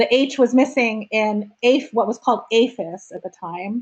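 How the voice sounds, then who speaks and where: A New Jersey accent at a moderate pace, with fairly even intonation. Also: woman. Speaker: meeting facilitator for arts education nonprofit. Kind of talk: online meeting opening remarks.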